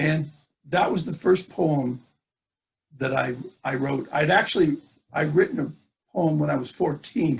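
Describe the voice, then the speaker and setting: With an American accent, a man is heard speaking. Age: 60s. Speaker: poet and speaker. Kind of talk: talk. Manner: halting, many fillers.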